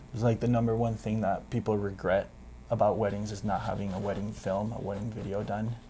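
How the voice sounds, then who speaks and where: Speaking fairly quickly, a man has a fairly low pitch and a dark, mellow tone. He sounds somewhat breathy, with monotone, flat intonation. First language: Spanish. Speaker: photographer and DJ business owner. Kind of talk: interview.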